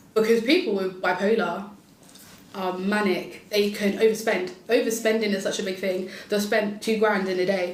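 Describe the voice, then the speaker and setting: A woman speaks at medium pitch and a moderate pace. Noticeable background noise and audible room echo surround her voice. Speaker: podcast panelist, mental health nurse. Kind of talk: casual panel discussion. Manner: loud and bubbly.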